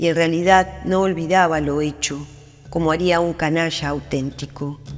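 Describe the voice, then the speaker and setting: Fairly slow speech in an Argentine accent, with music in the background. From Argentina. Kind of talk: short story narration.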